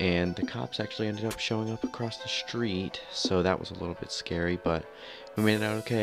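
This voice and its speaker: A man at a fairly low pitch and fairly quick pace, with ordinary pitch variation and music in the background. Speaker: channel host. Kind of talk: casual vlog intro voice-over.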